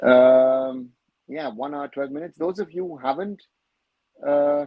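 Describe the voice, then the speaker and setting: Ordinary pitch variation with a German accent. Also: man. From Germany. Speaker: football commentator, live-stream host. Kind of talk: live-stream Q&A, reading viewer questions. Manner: casual, with many fillers.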